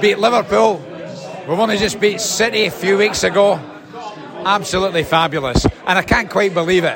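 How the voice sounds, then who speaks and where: A man speaks with high pitch, ordinary pitch variation and very even loudness at a moderate pace. Noticeable background noise runs underneath. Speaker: fan. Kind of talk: post-match fan chat.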